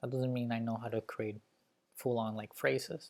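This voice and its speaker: The speaker is a man. He has a Spanish accent. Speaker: YouTuber learning languages. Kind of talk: casual vlog talk to camera. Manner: casual, hesitant with fillers.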